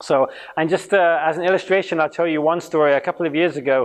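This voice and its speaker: The speaker has an English accent and a fairly quick pace. Pitch varies in an ordinary way. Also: man. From England. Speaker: youth ministry trainer. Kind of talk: conference talk. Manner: fast when passionate; interactive.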